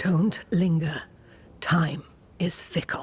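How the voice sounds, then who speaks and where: This is a put-on character voice. It sounds raspy at a middle pitch. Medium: video game. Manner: cryptic, measured.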